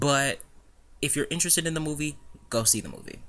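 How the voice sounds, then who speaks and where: A man talks at a very fast pace with a bright, sharp tone. The recording is very clean, with a silent background. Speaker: YouTube movie reviewer. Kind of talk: casual video review. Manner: stutters over words; mumbles sometimes, rambling.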